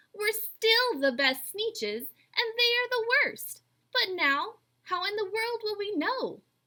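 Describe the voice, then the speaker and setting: In a put-on character voice, a woman pitches her speech extremely high. Her pace is fairly slow. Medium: read story. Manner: snooty, boastful.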